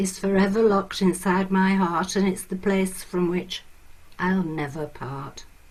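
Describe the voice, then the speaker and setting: A woman's medium-pitched voice with a northern English accent, fairly slow pace and fairly even intonation. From northern England, Lancashire. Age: old. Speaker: performance poet. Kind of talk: casual talk to listeners; poetry reading.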